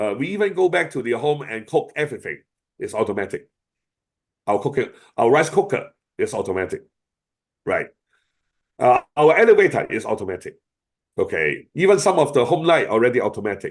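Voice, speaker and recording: Speaking at a fairly quick pace in a Chinese accent, a man leaves long, frequent pauses. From China. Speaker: AI expert speaker. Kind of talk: webinar Q&A. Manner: hesitant, many fillers.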